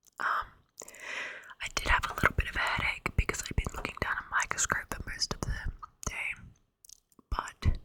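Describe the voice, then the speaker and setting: A woman whispers at a moderate pace. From Australia. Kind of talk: ASMR casual storytime talk. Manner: rambling, chatty.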